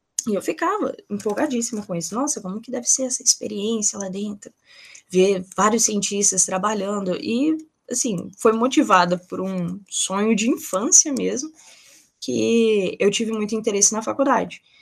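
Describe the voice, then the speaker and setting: A woman with a fairly high, somewhat breathy voice speaks at a moderate pace. Her intonation is lively and her loudness swings widely. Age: 20s. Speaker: nursing student and researcher. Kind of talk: interview.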